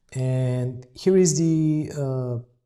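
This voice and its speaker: On a very clean recording with a silent background, a man with a non-native accent speaks at a medium pitch in a dark, mellow tone. His voice is somewhat breathy, with ordinary pitch variation. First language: not English. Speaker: software demo presenter. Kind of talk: software tutorial demo. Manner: hesitant, many fillers.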